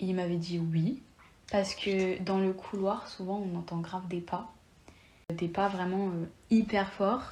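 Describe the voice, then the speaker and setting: Somewhat breathy and dark, mellow in tone, a woman speaks very slowly at a medium pitch with monotone, flat intonation. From France (Lyon). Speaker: podcast guest. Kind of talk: casual chat.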